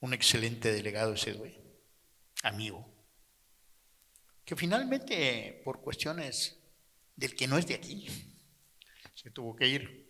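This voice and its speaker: Speaking slowly with long, frequent pauses, a man uses a medium pitch, lively intonation, a bright, sharp tone, and big swings in loudness. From Mexico, Chetumal (Quintana Roo). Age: 80s+. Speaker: audience member. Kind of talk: testimony.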